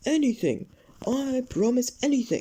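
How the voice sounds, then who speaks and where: His pitch climbs extremely high. This man is doing a put-on character voice. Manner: pleading, desperate.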